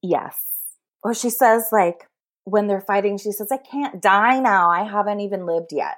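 A woman with an American accent uses a normal speaking voice, medium in pitch, with ordinary pitch variation. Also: moderate pace. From US West Coast (San Francisco Bay Area). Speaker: podcast guest, romance fan. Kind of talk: casual chat.

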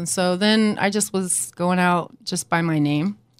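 On a very clean recording with a silent background, a woman speaks at a moderate pace with a medium pitch and ordinary pitch variation. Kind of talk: casual interview.

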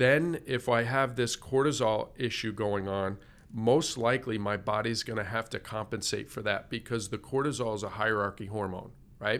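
A man speaks at a moderate pace in an ordinary speaking voice, with a medium pitch and ordinary pitch variation. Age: 50s. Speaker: integrative medicine doctor. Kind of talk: interview.

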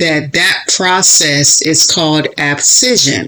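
A woman with a very deep, low voice speaks with lively intonation. Noticeable background noise is audible. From Florida. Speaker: author and podcast host. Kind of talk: inspirational monologue. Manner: animated.

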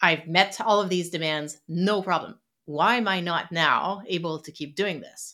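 In a French Canadian accent, a woman speaks at a fairly slow pace with a fairly low pitch, fairly even intonation and a bright, sharp tone. Her loudness swings widely, on a very clean recording with a silent background. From Quebec City, Canada. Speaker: psychologist and author. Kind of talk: interview conversation.

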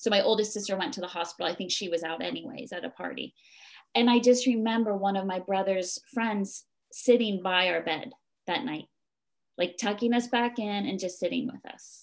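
A woman with a New Jersey accent at a medium pitch and fairly quick pace, her loudness swinging widely, over a quiet background. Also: ordinary pitch variation. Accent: US East Coast (New Jersey). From New Jersey, US. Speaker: mindfulness teacher and temple co-runner. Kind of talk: interview conversation.

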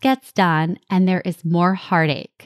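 Speaking with a New Jersey accent, a woman talks at a very slow pace. The sound is dry and close, with no echo. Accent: New Jersey American. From New Jersey, US. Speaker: podcast host and life coach. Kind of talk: solo podcast monologue.

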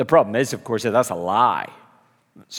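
With a Belfast accent, a man's voice moves in very wide pitch swings. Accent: Belfast Northern Irish. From Northern Ireland, Belfast. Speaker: preacher. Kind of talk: sermon.

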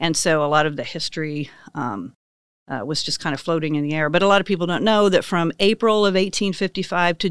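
A woman with a fairly low voice speaks fairly quickly in a Midwestern American accent. Her pitch varies in an ordinary way on a very clean recording with a silent background. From western Kansas. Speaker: business owner. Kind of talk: casual interview.

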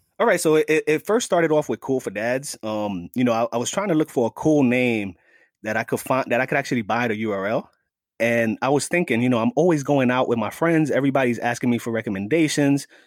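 A man in a New York accent at a very fast pace, in a very clean recording with a silent background and a dry, close sound with no echo. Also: medium pitch for a man, ordinary pitch variation. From New York City, the Bronx. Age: 40s. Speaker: fatherhood advocate. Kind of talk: casual chat. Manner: animated.

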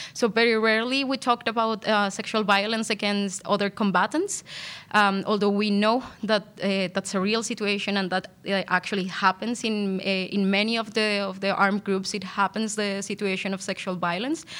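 A woman talks at a fairly quick pace. Her pitch sits in the medium range, with fairly even intonation. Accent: Spanish. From Colombia. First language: Spanish. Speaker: PhD law student. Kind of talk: academic interview. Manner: halting, many fillers.

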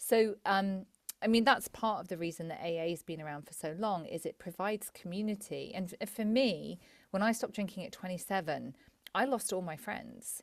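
A woman in a southern English accent, with big swings in loudness and ordinary pitch variation. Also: medium pitch for a woman, moderate pace, very clean recording, silent background. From England, Cambridge area. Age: 40s. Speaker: psychotherapist. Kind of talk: interview conversation.

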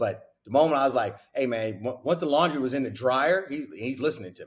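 With an animated tone, a man talks at a medium pitch in a somewhat breathy voice. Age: 40s. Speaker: basketball coach. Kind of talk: casual interview.

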